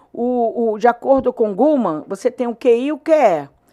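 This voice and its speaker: Heard on a very clean recording with a silent background, a woman talks at a high pitch with ordinary pitch variation. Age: 60s. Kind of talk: interview answer. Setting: studio. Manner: halting, frequent repetitions.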